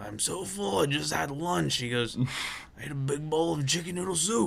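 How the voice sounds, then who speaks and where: Using a put-on character voice, a man speaks at a moderate pace with a fairly high pitch and very wide pitch swings, over light background noise. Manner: funny, exaggerated.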